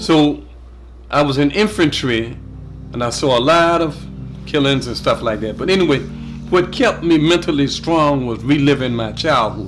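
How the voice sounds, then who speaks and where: A man with an American accent speaks at a fairly high pitch and a moderate pace. He takes long, frequent pauses while music plays in the background. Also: ordinary pitch variation. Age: 60s. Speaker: war veteran. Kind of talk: testimony. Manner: halting.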